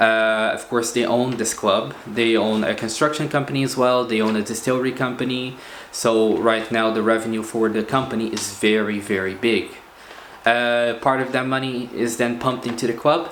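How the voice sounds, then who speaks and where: A man with a Portuguese accent, medium in pitch, at a moderate pace with fairly even intonation, amid audible room echo and noticeable background noise. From Portugal. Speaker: football video blogger. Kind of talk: casual commentary monologue. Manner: hesitant, many fillers.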